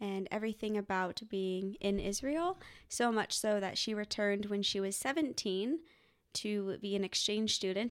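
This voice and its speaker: In an American accent, a woman speaks at a fairly slow pace in a fairly high pitch, with an unremarkable speaking voice. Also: very clean recording, silent background. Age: 20s. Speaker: non-profit worker. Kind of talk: interview.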